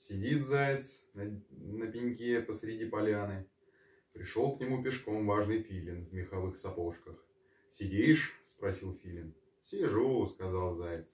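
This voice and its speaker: Somewhat breathy, a man speaks at a very slow pace. Audible room echo is present. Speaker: storyteller. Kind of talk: bedtime story reading with character voices. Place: home room. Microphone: camera far.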